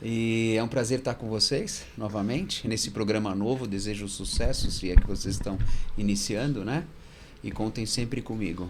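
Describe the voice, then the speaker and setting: An unremarkable speaking voice from a man, fairly low in pitch, at a moderate pace with ordinary pitch variation. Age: 60s. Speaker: fund manager. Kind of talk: interview.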